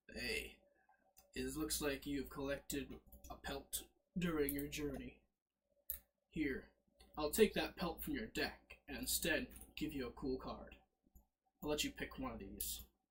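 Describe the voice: A raspy put-on character voice at a fairly slow pace, broken by long, frequent pauses. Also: man.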